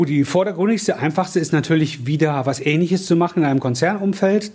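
Talking at a fairly quick pace, a man with a dark, mellow, somewhat breathy tone shows ordinary pitch variation. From Cologne, Germany. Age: 50s. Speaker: franchise business owner, former corporate manager. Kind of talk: interview. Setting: coworking office.

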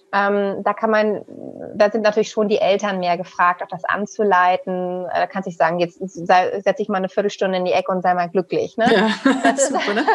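A woman is speaking at a medium pitch. Her pitch variation is ordinary. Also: moderate pace. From northern Germany, Hamburg. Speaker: business psychologist and coach. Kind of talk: interview. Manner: halting, with many fillers.

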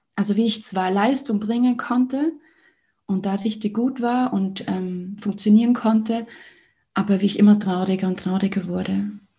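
A woman with a dark, mellow tone and a somewhat breathy voice speaks at a moderate pace and medium pitch, with fairly even intonation. Long, frequent pauses stand out in a very clean recording with a silent background. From Liechtenstein. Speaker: mental and heart coach. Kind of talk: casual interview conversation.

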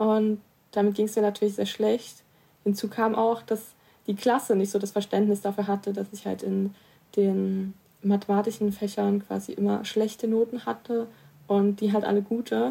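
A woman of medium pitch speaks at a moderate pace with a dark, mellow tone. Her intonation is monotone and flat. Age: 20s. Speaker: person with dyscalculia, youth group spokesperson. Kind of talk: personal testimony.

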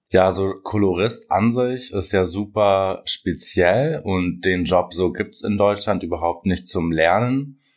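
With an unremarkable speaking voice, a man talks at a fairly slow pace in a fairly low pitch with hardly any pauses, on a very clean recording with a silent background. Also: ordinary pitch variation. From Germany, Russian-German family. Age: 20s. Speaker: hair colorist and influencer. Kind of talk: interview, casual chat.

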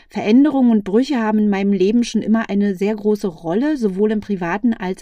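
A woman speaks at a medium pitch with ordinary pitch variation. Her tone is dark and mellow, and the background is quiet. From Berlin, Germany. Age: 40s. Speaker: life coach and podcast host. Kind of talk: personal monologue.

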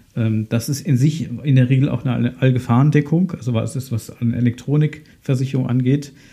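Speaking at a moderate pace with hardly any pauses, a man has a medium pitch and fairly even intonation. His tone is dark and mellow and somewhat breathy. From Germany, Ahr valley (Rhineland-Palatinate). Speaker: insurance advisor, podcast host. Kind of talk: solo podcast explainer.

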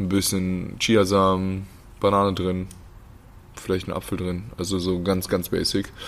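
A man's very deep, low voice, monotone and flat, at a fairly slow pace with long, frequent pauses and audible room echo. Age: 20s. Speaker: professional basketball player. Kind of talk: casual chat. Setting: sitting down after a training session.

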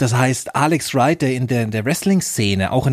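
A man with an ordinary speaking voice talks at medium pitch and a moderate pace. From Germany, Nuremberg. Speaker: podcast host, former pro wrestler. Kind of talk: casual chat.

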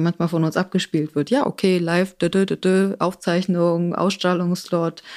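In a southern German accent, a woman with a fairly low voice talks at a moderate pace and keeps her loudness very even. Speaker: production coordinator. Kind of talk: casual chat.

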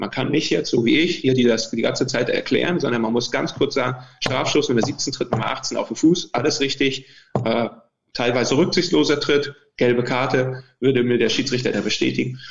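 This man's pitch shows ordinary variation. He keeps up a fairly quick pace. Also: medium pitch for a man. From Mecklenburg, near Schwerin, Germany. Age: 40s. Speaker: football referee (VAR). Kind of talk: interview. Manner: halting, many fillers and repetitions.

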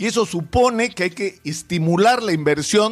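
This man has a high pitch and lively intonation, and he talks at a moderate pace. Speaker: political commentator. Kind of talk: opinion commentary. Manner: emphatic.

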